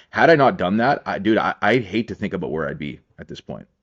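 Very fast speech from a man, with vocal fry. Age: 30s. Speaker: powerlifter and men's coach. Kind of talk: casual chat.

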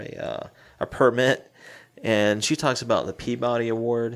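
At a moderate pace, a man talks in a normal speaking voice with a medium pitch. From US Southeast. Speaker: podcast co-host. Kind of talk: casual chat.

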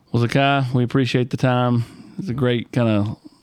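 A man talks at medium pitch with a Southern US accent. His pace is moderate and his intonation fairly even. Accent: Southern US, country twang. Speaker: sports podcast host. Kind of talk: interview.

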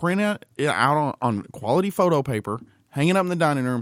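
In a very clean recording with a silent background and a dry, close sound with no echo, a man with a fairly high pitch and an ordinary speaking voice talks at a fairly quick pace with lively intonation. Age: 30s. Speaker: podcast co-host. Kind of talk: casual chat. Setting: studio.

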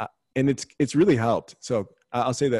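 A man with an American accent talks at a fairly quick pace in an unremarkable speaking voice. The recording is very clean, with a silent background and a dry, close sound with no echo. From Texas, San Antonio. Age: 20s. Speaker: recording artist and TV contestant. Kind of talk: interview.

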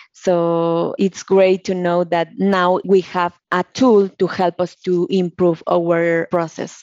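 A woman with a Mexican accent speaks at a very slow pace with hardly any pauses and a fairly low pitch. Her intonation is monotone and flat. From Mexico. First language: Spanish. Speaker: process engineer. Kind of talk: interview.

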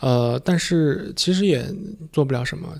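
A man speaks with a fairly high pitch and vocal fry. His tone is slightly mellow. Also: ordinary pitch variation, moderate pace.

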